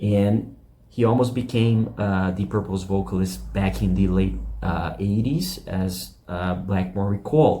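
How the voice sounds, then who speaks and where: A man's very deep, low, somewhat breathy voice with a non-native accent, very wide pitch swings and a fairly slow pace, plus audible room echo. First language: not English. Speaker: YouTube rock music channel host. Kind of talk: casual video commentary. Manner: halting, many fillers.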